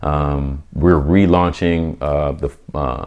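A man speaking with fairly even intonation over noticeable background noise. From US Midwest (Omaha, Nebraska) and Atlanta. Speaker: photographer and entrepreneur. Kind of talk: casual interview.

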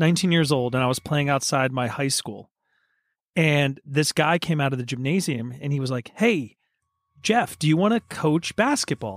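A man with a normal speaking voice and a fairly high pitch talks at a moderate pace with lively intonation, in a dry, close sound with no echo on a very clean recording with a silent background. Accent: American. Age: 40s. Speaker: podcast co-host. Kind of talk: casual chat.

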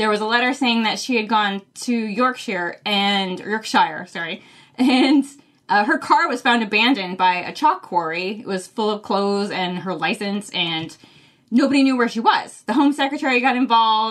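A woman with an American accent speaks at a moderate pace, her pitch fairly high. Her intonation is lively, and she has an unremarkable speaking voice. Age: 40s. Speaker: book podcaster, fill-in co-host. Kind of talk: casual chat.

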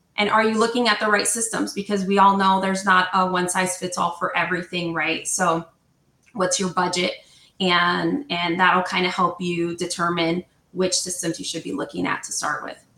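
A woman's plain, everyday voice with an American accent, medium pitch, fairly even intonation and a moderate pace. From New Jersey. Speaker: HR software sales representative. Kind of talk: casual interview.

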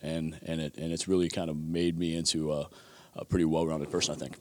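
The man talks at a fairly quick pace. His recording is very clean, with a silent background. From Buffalo, New York. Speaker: strength coach and fitness presenter. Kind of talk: interview. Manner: hesitant, many filler words.

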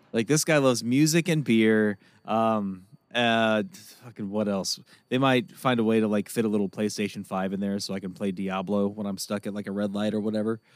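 In a very clean recording with a silent background, a man talks at a fairly quick pace in a fairly low pitch. His is an ordinary speaking voice with ordinary pitch variation. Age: 30s. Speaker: podcast co-host. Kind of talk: casual chat.

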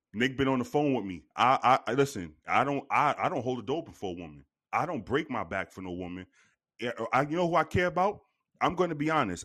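With vocal fry and an animated tone, a man talks at a fairly quick pace, his medium pitch swinging very widely. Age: 40s. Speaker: podcast co-host. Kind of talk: casual chat.

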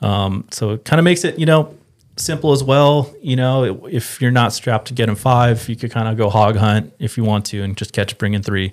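A man with an American accent uses a normal speaking voice at a medium pitch, a moderate pace and ordinary pitch variation, on a very clean recording with a silent background. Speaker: fishing industry rep. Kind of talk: casual chat.

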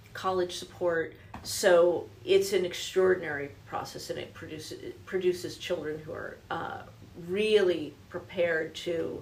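A woman's fairly slow speech in an American accent, with big swings in loudness and audible room echo. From New Jersey. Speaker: business executive. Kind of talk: interview. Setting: studio.

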